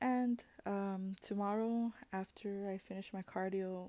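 Soft-spoken and fairly even in intonation, a woman talks in a dark, mellow tone. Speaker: vlogger. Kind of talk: casual video diary talk to camera. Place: home room. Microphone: earbuds.

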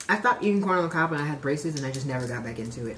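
A woman's very deep, low voice in an American accent at a very fast pace, with light background noise. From US Midwest, Chicago area. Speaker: YouTuber. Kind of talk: casual chat. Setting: at home. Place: home room.

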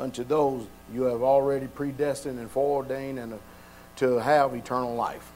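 A man talks with fairly even intonation. Music plays in the background. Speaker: pastor. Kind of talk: prayer then sermon. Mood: fervent, reverent. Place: church. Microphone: podium.

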